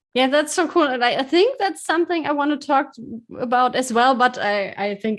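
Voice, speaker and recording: With a slight German accent, a woman talks at a fairly quick pace, her intonation lively. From Germany. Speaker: podcast host. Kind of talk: interview. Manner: halting.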